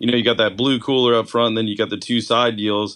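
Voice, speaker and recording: This man's intonation is fairly even. His pitch falls in the medium range. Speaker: fishing charter captain. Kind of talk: casual chat.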